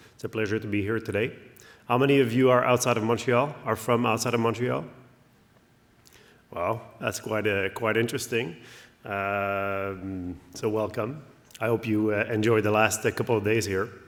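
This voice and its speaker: A man with a French accent and a fairly low pitch talks at a moderate pace, with fairly even intonation and long, frequent pauses. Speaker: company CEO. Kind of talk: conference presentation. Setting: stage with audience. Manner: hesitant, many fillers.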